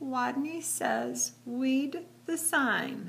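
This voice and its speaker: Over clear background noise, a woman performs a squeaky, high-pitched, put-on character voice. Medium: read story.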